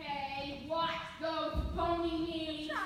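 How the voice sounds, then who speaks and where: A woman puts on an extremely high-pitched character voice amid strong echo and clear background noise. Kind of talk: comic overacting. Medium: stage play.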